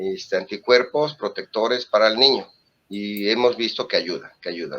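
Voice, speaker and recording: A man talks at a moderate pace. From Mexico. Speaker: physician. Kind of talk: interview. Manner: halting, with fillers and self-corrections.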